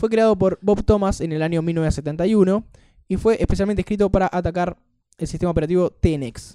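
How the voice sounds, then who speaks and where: A high-pitched male voice with a dark, mellow tone, ordinary pitch variation and a fairly quick pace, in a dry, close sound with no echo. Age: 20s. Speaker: tech podcast host. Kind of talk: casual chat.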